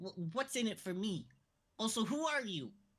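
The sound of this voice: A female-sounding voice at medium pitch comes through. It is a squeaky, put-on character voice. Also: moderate pace.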